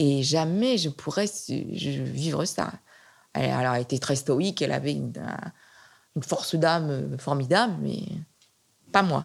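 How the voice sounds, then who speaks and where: Over a silent background in a very clean recording, a woman speaks with lively intonation and vocal fry. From western France (Nantes). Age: 70s. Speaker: retired art historian. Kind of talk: interview. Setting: at home. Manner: halting with frequent repetitions.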